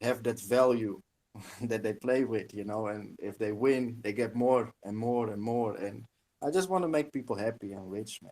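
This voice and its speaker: A non-native accent at a moderate pace, with ordinary pitch variation and a dry, close sound free of echo. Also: man. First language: not English. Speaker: game developer. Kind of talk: casual chat. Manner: halting.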